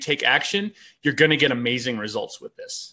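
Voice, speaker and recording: Loud speech with a bright, sharp tone at a moderate pace. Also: man. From outside the US. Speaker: online business host. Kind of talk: casual chat.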